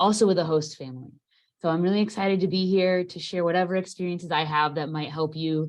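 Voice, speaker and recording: At a very fast pace, the speech shows ordinary pitch variation. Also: woman. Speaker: panelist, former exchange student. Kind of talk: panel discussion on video call.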